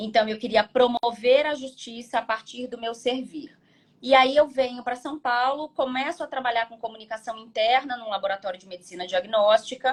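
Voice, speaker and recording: A high-pitched woman's voice with big swings in loudness. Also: ordinary pitch variation, moderate pace. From Brazil, Rio de Janeiro state (carioca). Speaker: business advisor and researcher. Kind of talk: casual interview on live stream. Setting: Instagram live.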